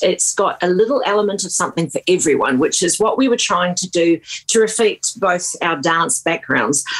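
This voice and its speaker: A woman with a New Zealand accent talks at a moderate pace with hardly any pauses, over noticeable background noise. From New Zealand, small town. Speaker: singer-songwriter. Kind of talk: radio interview. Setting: remote radio interview.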